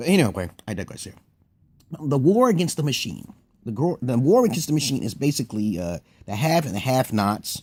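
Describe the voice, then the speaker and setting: A man's medium-pitched voice with vocal fry, a fairly quick pace and big swings in loudness. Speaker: vlogger giving opinions on social topics. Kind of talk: casual monologue vlog. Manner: animated, self-described not monotone; halting with many fillers and repetitions.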